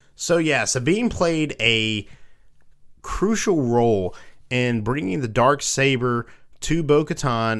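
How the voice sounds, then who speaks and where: A man with a Southern US accent speaks at a fairly slow pace and medium pitch. The recording is very clean, with a silent background. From US South. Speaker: podcast host. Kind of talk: casual chat.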